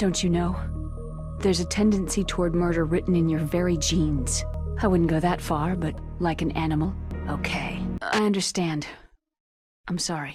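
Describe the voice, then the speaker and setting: Music plays in the background as a woman speaks in a calm tone at a moderate pace. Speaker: voice actress. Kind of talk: video game character dialogue supercut. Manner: calm, caring.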